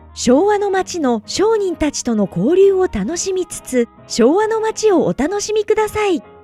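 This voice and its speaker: Music plays behind a woman whose extremely high voice swings very widely in pitch, moving at a fairly slow pace in a dry, close sound with no echo. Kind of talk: tourism promotional narration.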